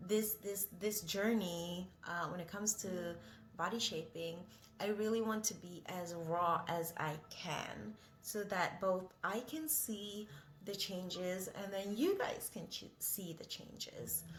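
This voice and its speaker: A woman's very slow, somewhat breathy voice at a medium pitch, with a non-native accent and audible room echo. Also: ordinary pitch variation. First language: not English. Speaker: vlogger. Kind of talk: casual vlog monologue. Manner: rambling, hesitant with many fillers.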